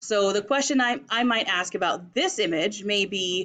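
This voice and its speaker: A woman with an American accent speaks in a normal speaking voice at a medium pitch. Her pace is fairly slow, with ordinary pitch variation. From Las Vegas, US. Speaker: teacher. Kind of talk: tutorial.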